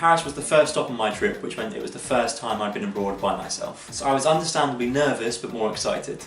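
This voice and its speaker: A man talks with lively intonation at a fairly high pitch for a man. Noticeable background noise and audible room echo surround him. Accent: English. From England. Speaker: travel vlogger. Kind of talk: casual monologue.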